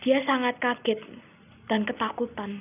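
Fairly high female voice at a moderate pace. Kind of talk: ghost story telling, creepypasta read aloud.

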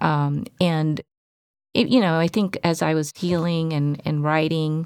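Soft-spoken, a woman talks at a very deep, low pitch. Her fairly slow delivery keeps fairly even intonation. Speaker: podcast co-host in tech. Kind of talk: casual chat. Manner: hesitant, many fillers.

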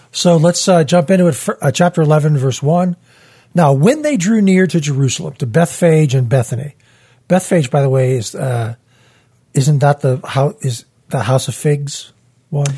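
A somewhat breathy man with a fairly high pitch, ordinary pitch variation and a moderate pace. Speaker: church podcast host. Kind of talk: Bible study discussion. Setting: studio.

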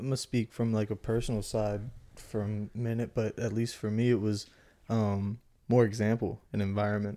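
A man's fairly low, dark and mellow voice in monotone, flat intonation at a moderate pace, on a very clean recording with a silent background. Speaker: podcast guest. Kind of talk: casual conversation.

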